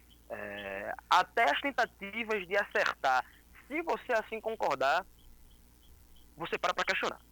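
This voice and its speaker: Long, frequent pauses from a man talking at a fairly slow pace. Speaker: liberal political activist. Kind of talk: casual chat. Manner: halting.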